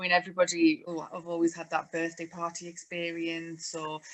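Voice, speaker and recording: A woman with a Welsh accent and a fairly low pitch. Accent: Welsh, noticeable. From North Wales. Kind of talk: interview.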